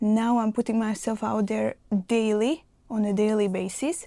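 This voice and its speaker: A woman with a non-native accent speaks in a dark, mellow tone at a fairly high pitch. Her pace is fairly slow, and the recording is very clean with a silent background. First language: not English. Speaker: mindset coach. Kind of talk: motivational talk to camera.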